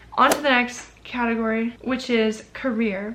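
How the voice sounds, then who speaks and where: Over noticeable background noise, a woman speaks in an animated tone with a fairly high voice. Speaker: lifestyle vlogger. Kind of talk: casual tutorial to camera. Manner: fast.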